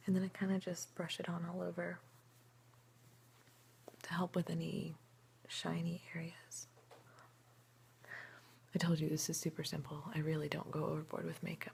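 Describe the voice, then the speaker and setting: Soft-spoken and relaxed in tone, a woman talks with fairly low pitch and vocal fry, leaving long, frequent pauses. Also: fairly even intonation, moderate pace. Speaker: ASMR creator. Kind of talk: ASMR soft-spoken get-ready-with-me talk to camera. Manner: soft-spoken, relaxed, friendly.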